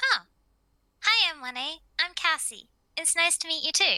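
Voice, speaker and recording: A woman's put-on character voice, squeaky and extremely high-pitched, with lively intonation and big swings in loudness. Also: moderate pace. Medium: actual play. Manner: soft, polite.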